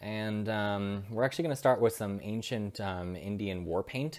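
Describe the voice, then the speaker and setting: A very clean recording of a man, with a silent background. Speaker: husband doing the voiceover of his wife's makeup tutorial. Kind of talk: comedic makeup tutorial voiceover. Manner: clueless, joking, hesitant with filler words.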